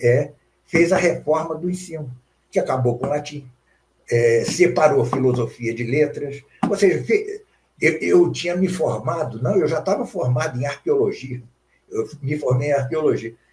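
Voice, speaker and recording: A man, somewhat breathy, at a moderate pace. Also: fairly high pitch for a man, ordinary pitch variation. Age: 70s. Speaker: philosophy professor. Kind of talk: interview. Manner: halting, many fillers.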